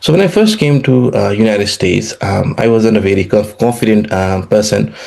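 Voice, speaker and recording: Over noticeable background noise, a man with a fairly low pitch talks at a fairly quick pace, his loudness very even. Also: ordinary pitch variation. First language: Nepali. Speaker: economics professor. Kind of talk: interview. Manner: halting, many fillers and repetitions.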